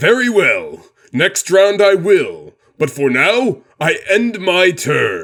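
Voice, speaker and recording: Putting on a character voice, a man talks very slowly at a high pitch. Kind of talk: scripted card game duel. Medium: dub. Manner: commanding, composed.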